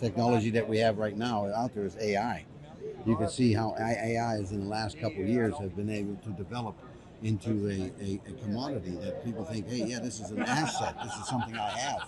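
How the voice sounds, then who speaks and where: A man with an American accent talks at a fairly quick pace and a fairly low pitch. His intonation stays fairly even over noticeable background noise. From United States. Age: 60s. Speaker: business founder and public speaker. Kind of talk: interview. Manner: hesitant, many fillers.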